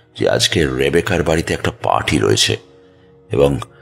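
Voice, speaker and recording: A man's voice against noticeable background noise. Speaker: audio drama narrator. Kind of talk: horror audio story narration.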